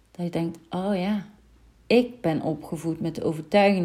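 A woman's dark, mellow voice at a fairly low pitch with ordinary pitch variation. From Netherlands, North Brabant. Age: 30s. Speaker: mindset coach. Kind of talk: solo podcast monologue.

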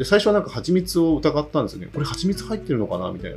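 The voice belongs to a man. It comes across as somewhat breathy. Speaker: podcast host. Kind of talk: solo monologue. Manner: halting.

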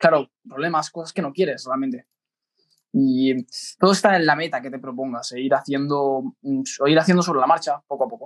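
In a dry, close recording with no echo, a man with a fairly high pitch and an unremarkable speaking voice talks at a moderate pace, with ordinary pitch variation and big swings in loudness. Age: 20s. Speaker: podcast co-host, business executive. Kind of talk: casual chat.

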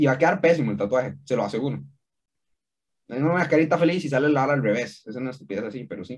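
With a Costa Rican accent, a man talks at a very fast pace in a medium pitch with ordinary pitch variation. His voice has vocal fry and big swings in loudness. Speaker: podcast co-host. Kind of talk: casual chat.

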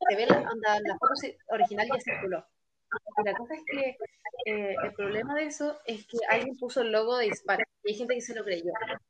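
A woman speaks with a plain, everyday voice, pitched fairly high. Her pace is moderate and her pitch varies in an ordinary way. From Chile, Concepción. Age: 20s. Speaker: fan club leader. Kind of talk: casual chat.

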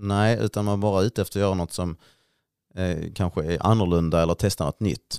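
Speaking at a very fast pace, a man has a very deep, low pitch and fairly even intonation. The recording is very clean and silent in the background, with a dry, close sound and no echo. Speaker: podcast co-host. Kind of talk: casual chat.

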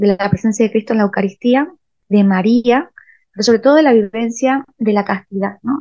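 Fairly high in pitch with ordinary pitch variation, this woman has an unremarkable speaking voice. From Argentina, Salta (Rosario de la Frontera). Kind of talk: interview.

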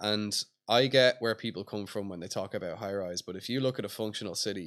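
Talking very fast, a man with a Dublin accent keeps his intonation fairly even. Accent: Dublin Irish. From Ireland, Dublin. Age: 20s. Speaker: skateboard magazine founder. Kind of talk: casual interview chat. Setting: outdoors at a skate plaza.

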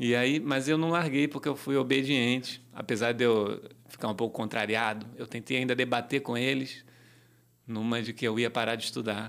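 On a very clean recording with a silent background, a man with an unremarkable speaking voice talks at a medium pitch and a moderate pace, with fairly even intonation. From Rio de Janeiro, Brazil (Tijuca, north zone). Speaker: reggae musician and songwriter. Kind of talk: casual interview.

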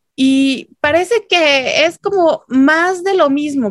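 A woman speaks with lively intonation. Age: 30s. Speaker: political analyst. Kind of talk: casual chat.

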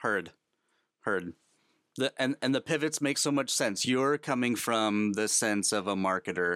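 This man has an ordinary speaking voice, fairly low in pitch, with ordinary pitch variation at a fairly slow pace. The sound is dry and close with no echo, in a very clean recording over a silent background. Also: very even loudness. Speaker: podcast host. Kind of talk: interview chat.

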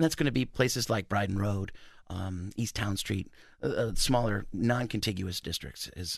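A man with an American accent speaks at a moderate pace and sounds somewhat breathy, with big swings in loudness on a very clean recording with a silent background. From US Midwest, northwest Ohio (Maumee, Toledo area). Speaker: city historic preservation planner. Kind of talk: radio interview.

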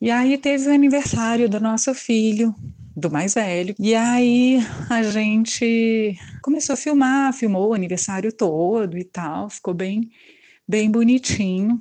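A woman speaks fairly slowly in a fairly high pitch, her tone dark and mellow, with ordinary pitch variation. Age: 50s. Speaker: listener. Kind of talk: recorded voice message story.

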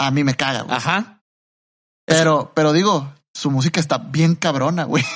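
A man with a Mexican accent speaks at a moderate pace, his fairly high voice showing ordinary pitch variation. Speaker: podcast co-host. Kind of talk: casual chat.

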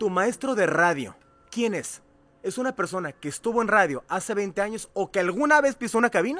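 A man speaks at a high pitch and a fairly quick pace. His intonation is lively. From Mexico, Cuautla, Morelos. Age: 40s. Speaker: radio host and coach. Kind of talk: casual chat.

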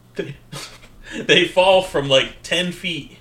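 A man talks in an American accent while noticeable background noise is heard. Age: 30s. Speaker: podcast co-host. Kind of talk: casual chat.

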